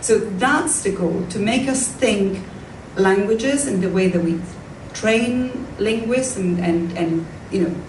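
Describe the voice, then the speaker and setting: Very slow, lively speech from a woman with an Italian accent, medium in pitch, with noticeable background noise and audible room echo. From Italy, Tuscany. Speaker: professor of modern languages. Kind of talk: lecture Q&A.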